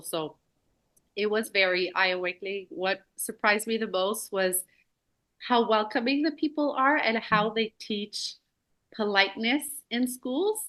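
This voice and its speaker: A woman with a bright, sharp tone speaks in a Quebec accent. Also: quiet background. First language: French. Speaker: elementary school teacher. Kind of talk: casual conversation.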